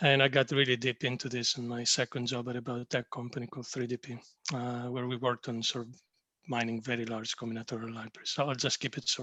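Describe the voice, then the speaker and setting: The voice has a Greek accent and a bright, sharp tone, with monotone, flat intonation. It moves at a very fast pace in a dry, close sound with no echo. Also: man, medium pitch for a man, quiet background. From Greece. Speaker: pharmaceutical digital executive. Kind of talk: panel discussion self-introduction.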